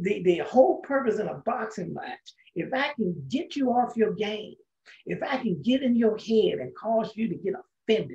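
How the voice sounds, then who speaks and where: Over a quiet background, a man talks at a fairly slow pace with very wide pitch swings. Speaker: Bible study teacher. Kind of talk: sermon. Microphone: webcam.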